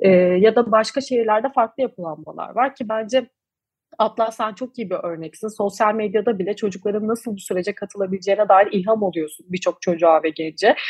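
A woman speaks at a fairly quick pace with fairly high pitch and ordinary pitch variation, in a dry, close sound with no echo. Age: 20s. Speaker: climate activist, NGO founder. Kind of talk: interview. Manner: hesitant fillers.

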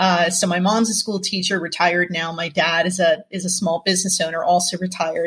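With an American accent, a woman with a fairly low pitch talks at a fairly quick pace in a monotone, flat way with hardly any pauses. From New Jersey. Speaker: leadership consultant and company founder. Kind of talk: podcast interview.

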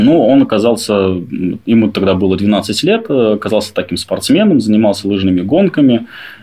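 Using an unremarkable speaking voice, a man talks at a moderate pace with lively intonation. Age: 30s. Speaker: adoptive father. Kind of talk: personal story interview.

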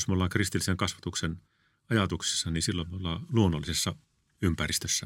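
Over a silent background in a very clean recording, a man talks very fast with a very deep, low pitch. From Finland, Northern Ostrobothnia (Kalajoki, Oulu). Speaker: educator and school principal. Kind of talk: interview. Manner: hesitant, repeats words.

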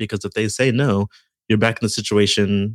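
A man speaks at a moderate pace in a fairly low pitch, an ordinary speaking voice. The recording is very clean, with a silent background. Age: 30s. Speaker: podcast producer and filmmaker. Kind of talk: casual interview.

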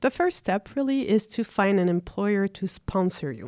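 On a very clean recording with a silent background and a dry, close sound with no echo, a woman uses an unremarkable speaking voice at medium pitch, with lively intonation and a moderate pace. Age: 30s. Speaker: apprentice electrician. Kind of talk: interview. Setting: studio.

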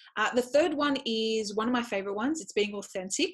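A woman with an Australian accent speaks at a fairly high pitch. Her voice is somewhat breathy. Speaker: educator and speaker. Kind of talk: interview.

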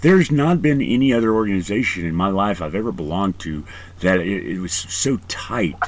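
The voice is an unremarkable speaking voice. It moves at a fairly quick pace with lively intonation. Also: man, fairly low pitch for a man. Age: 40s. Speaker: podcast host and Marine veteran. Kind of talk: casual interview.

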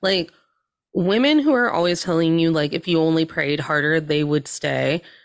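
A woman with an ordinary speaking voice, fairly low in pitch, at a moderate pace, with ordinary pitch variation and very even loudness. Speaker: podcast guest. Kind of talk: casual comedic chat. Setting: video call.

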